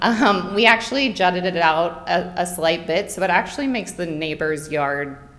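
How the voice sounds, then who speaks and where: A woman talks with lively intonation at a moderate pace, with noticeable background noise behind her. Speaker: homeowner applicant at zoning hearing. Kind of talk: public hearing testimony. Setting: public meeting room. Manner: halting.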